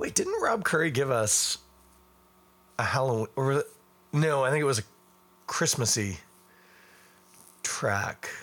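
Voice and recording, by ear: Speaking slowly with long, frequent pauses, a man has a raspy voice, a fairly bright tone and big pitch swings.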